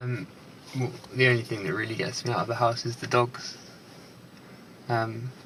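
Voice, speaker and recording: A man's medium-pitched voice at a moderate pace, with fairly even intonation, long, frequent pauses and noticeable background noise. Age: 20s. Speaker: documentary subject, painter. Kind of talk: documentary interview. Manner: halting.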